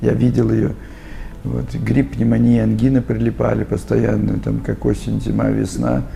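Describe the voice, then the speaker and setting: Over noticeable background noise, a man speaks fairly slowly in a very deep, low voice. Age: 60s. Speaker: customer testimonial. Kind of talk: testimony. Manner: hesitant fillers.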